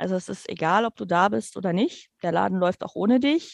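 A woman in a normal speaking voice at a medium pitch and moderate pace, against a quiet background. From Germany, near Dutch border. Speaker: nursing care manager. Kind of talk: interview.

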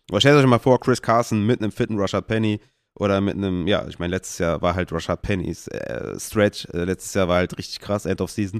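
Very fast speech from a man with a fairly low voice comes through dry and close with no echo, on a very clean recording with a silent background. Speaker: fantasy football podcast host. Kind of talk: casual solo podcast talk.

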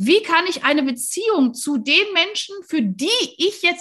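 Her bright, sharp tone sounds animated, with lively intonation and a moderate pace. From Rhineland, near Cologne, Germany. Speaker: podcast host, leadership coach. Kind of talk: casual interview.

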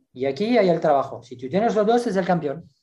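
A man speaks with lively intonation and a dark, mellow tone. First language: French (speaking Spanish). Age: 60s. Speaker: gymnastics coach. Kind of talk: interview. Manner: halting.

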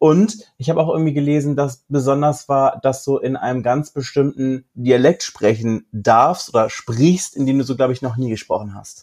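Speaking in an ordinary speaking voice, a man keeps a moderate pace and fairly high pitch with ordinary pitch variation and hardly any pauses. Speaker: podcast co-host. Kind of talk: casual chat.

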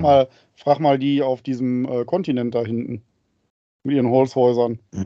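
A man talks in an unremarkable speaking voice at medium pitch. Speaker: podcast co-host, father. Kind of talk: casual chat. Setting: video call. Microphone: mic very close to mouth.

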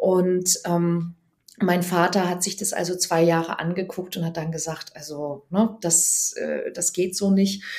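The delivery comes at a very slow pace in a monotone, flat intonation. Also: woman, fairly low pitch for a woman. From Germany, Bergstraße region (Hesse/Baden border). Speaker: dating and relationship coach. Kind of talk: casual interview.

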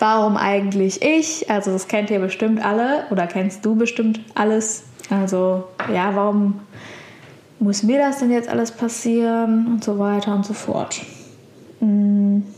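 A woman's fairly high voice at a fairly slow pace, broken by long, frequent pauses, over noticeable background noise. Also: fairly even intonation. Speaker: podcast host, virtual assistant. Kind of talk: solo podcast monologue. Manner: hesitant, many filler sounds. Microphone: poorer sound quality this episode.

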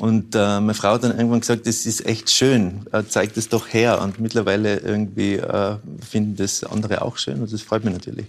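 With a Tyrolean accent, a man speaks at a moderate pace in a fairly low voice with monotone, flat intonation. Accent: Tyrolean Austrian German. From Tyrol, Austria. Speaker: author and painter. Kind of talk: interview chat.

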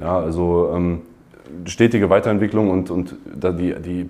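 Here a man speaks in a very deep, low pitch with a dark, mellow tone. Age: 20s. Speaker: university student. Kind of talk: interview testimonial. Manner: halting, many fillers.

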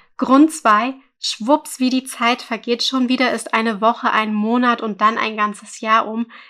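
At a moderate pace, a woman talks in a fairly high pitch with a bright, sharp tone and monotone, flat intonation. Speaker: photography podcast host, mother. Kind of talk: solo podcast monologue.

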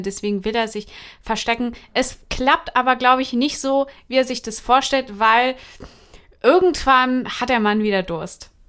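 In an unremarkable speaking voice, a woman talks at a fairly slow pace with ordinary pitch variation on a very clean recording with a silent background. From Hesse, Germany. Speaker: podcast co-host. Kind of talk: casual chat.

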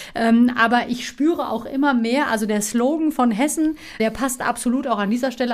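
Speaking in a normal speaking voice at a moderate pace, a woman keeps a fairly high pitch with ordinary pitch variation. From Offenbach, Hesse, Germany (born in Istanbul). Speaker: radio and TV presenter. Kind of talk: interview.

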